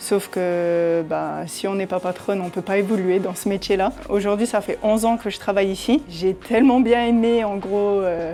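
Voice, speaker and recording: The speaker talks at a moderate pace with hardly any pauses and ordinary pitch variation. Music plays in the background. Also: woman, medium pitch for a woman. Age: 20s. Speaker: business owner, beauty salon. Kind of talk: interview testimony. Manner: hesitant, many fillers.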